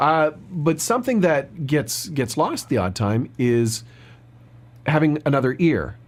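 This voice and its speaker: In a plain, everyday voice, a man talks at a fairly slow pace with a fairly high pitch and very even loudness. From Canada. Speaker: voice actor. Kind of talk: podcast host talk.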